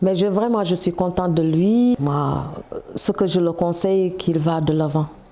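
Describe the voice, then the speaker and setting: A woman's fairly low voice, very even in loudness and fairly slow, with ordinary pitch variation over noticeable background noise. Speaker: mother of a young footballer. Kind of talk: interview testimony.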